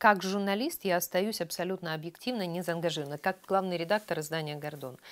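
This woman's voice sits fairly low in pitch. She moves through her words at a fairly quick pace. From Ukraine. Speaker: chief editor of a news publication. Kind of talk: interview. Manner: animated. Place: studio. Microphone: lapel.

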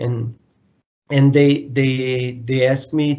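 A very slow voice with a monotone, flat intonation. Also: man. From Brazil. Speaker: mechanical engineer. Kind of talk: interview. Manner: halting, many repetitions. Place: home room. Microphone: video call.

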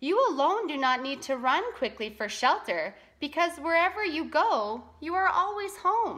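At a fairly slow pace, a woman does a put-on character voice, high-pitched with a bright, sharp tone and big pitch swings.

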